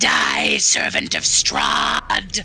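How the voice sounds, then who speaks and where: A raspy, put-on character voice. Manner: screaming, shrieking.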